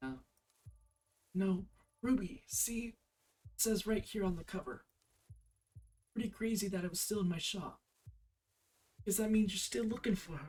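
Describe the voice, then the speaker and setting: Over music in the background, a raspy put-on character voice at middle pitch moves at a moderate pace with long, frequent pauses. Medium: game stream. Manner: hesitant, apologetic.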